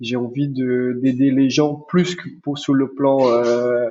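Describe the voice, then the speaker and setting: A man's voice at a medium pitch. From Brazil, centre of the country. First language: Portuguese (speaking French). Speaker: chiropractor. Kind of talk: podcast interview.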